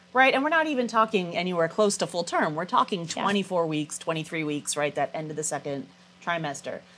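A woman talks with a Californian accent. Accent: General American (Californian). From California, San Diego. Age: 40s. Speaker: public health professor. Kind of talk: interview. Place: studio. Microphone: lapel.

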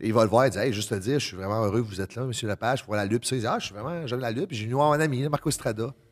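A man rattles along at a very fast pace with hardly any pauses, his medium pitch varying in an ordinary way over a quiet background. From Acadian New Brunswick (Le Goulet); New Brunswick. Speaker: professional wrestler, prison worker; podcast guest. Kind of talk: casual chat. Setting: stage with audience. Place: studio. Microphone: studio mic.

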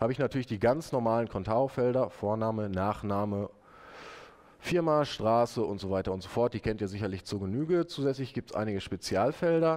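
A man talks at a moderate pace, his intonation lively. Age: 30s. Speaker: web developer presenting his software; conference presenter. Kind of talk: conference talk with live demo. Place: hall.

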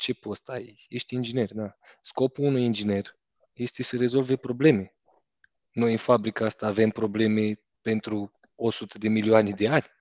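Against a quiet background, a man speaks at a moderate pace in a monotone, flat intonation, the sound dry with no echo. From Romania. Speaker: entrepreneur, driving school co-owner; guest. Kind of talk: casual chat. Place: office. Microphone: headset.

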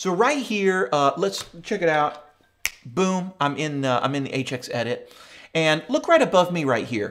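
A man's voice swings very widely in pitch. Light background noise is present. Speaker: guitar gear channel host. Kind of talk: tutorial. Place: studio.

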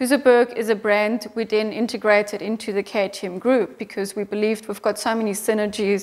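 Speaking in a German accent, a woman talks at a fairly quick pace with hardly any pauses. Her fairly high voice stays in a monotone, flat intonation. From Austria. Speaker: motorcycle company managing director. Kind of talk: interview. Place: office. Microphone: lapel.

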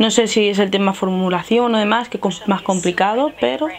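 A woman with a fairly high pitch talking at a fairly quick pace amid noticeable background noise. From Spain. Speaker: beauty youtuber. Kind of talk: makeup tutorial. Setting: home filming setup with ring light. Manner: casual, chatty. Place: home room. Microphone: lapel.

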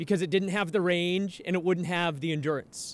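Dry, echo-free sound from a male speaker. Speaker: guest. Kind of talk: sermon. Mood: earnest, exhortative. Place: street. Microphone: podium.

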